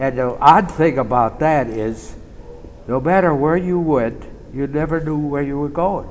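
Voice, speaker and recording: A man's fairly high voice with lively intonation at a fairly slow pace, amid noticeable background noise and audible room echo. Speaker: war veteran. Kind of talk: interview reminiscence.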